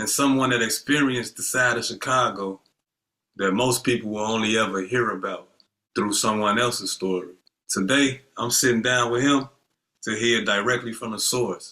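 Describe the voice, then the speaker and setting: A man's unremarkable speaking voice at medium pitch, with fairly even intonation. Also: moderate pace. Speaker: podcast host. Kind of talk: scripted episode intro.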